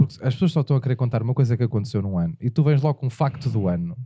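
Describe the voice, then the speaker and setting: A man speaks at a medium pitch with lively intonation. His voice is somewhat breathy, with a dark, mellow tone. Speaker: podcast host. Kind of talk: casual comedic chat.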